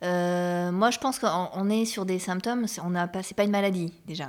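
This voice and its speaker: A woman talks in a plain, everyday voice at a fairly low pitch. Her pace is moderate and her intonation fairly even. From Bordeaux, France. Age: 40s. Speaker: performing arts worker. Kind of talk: casual chat.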